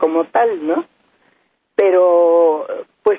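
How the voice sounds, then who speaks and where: The woman's voice sits fairly low in pitch and moves at a very slow pace. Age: 90s. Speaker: retired radio announcer and singer. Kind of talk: phone-in reminiscence.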